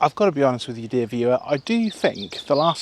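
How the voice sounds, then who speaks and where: A man with an English accent at a medium pitch and fairly quick pace, with a dry, close sound with no echo and a quiet background. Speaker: zoo vlogger. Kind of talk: walking vlog commentary. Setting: outdoors at a zoo. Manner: chatty and enthusiastic.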